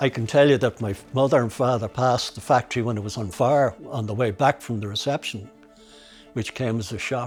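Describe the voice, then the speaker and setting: A man's medium-pitched voice with a Dublin accent, at a fairly quick pace with fairly even intonation, music in the background. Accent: Dublin Irish. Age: 80s+. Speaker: master glove maker. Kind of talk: documentary interview answer.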